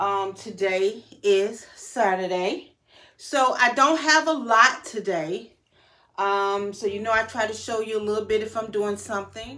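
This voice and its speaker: A woman with a bright, sharp tone speaks at a fairly slow pace with ordinary pitch variation. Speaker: style vlogger. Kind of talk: casual vlog chat. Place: home room. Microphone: phone near.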